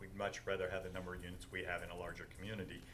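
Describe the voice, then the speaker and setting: A man with an American accent speaks in a bright, sharp tone, with audible room echo. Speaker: landlord addressing city council. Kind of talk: public comment at council meeting. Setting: council chamber with microphone. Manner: loud.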